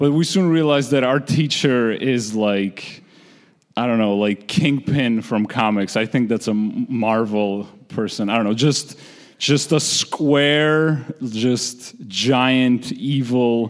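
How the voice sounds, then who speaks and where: Very slow in pace and with very even loudness, a man speaks with a Georgian accent at a medium pitch with ordinary pitch variation. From Republic of Georgia. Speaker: storyteller. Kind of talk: storytelling on stage. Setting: stage with audience.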